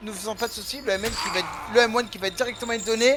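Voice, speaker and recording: Very fast speech runs on with noticeable background noise in the mix. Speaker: esports caster. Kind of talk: live commentary. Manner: loud.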